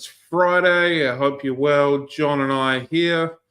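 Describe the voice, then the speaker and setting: A man speaks with a New Zealand accent. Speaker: podcast host. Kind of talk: casual chat.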